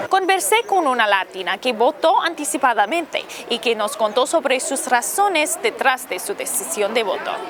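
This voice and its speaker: Over crowd noise in the background, a high-pitched woman talks at a fairly quick pace with hardly any pauses and very wide pitch swings. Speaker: TV reporter. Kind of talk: live TV news report. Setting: outdoors.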